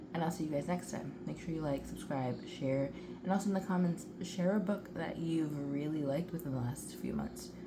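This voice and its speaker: The quiet voice moves at a fairly quick pace with ordinary pitch variation, with audible room echo and noticeable background noise. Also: woman. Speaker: writing vlogger. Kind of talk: casual vlog. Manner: animated.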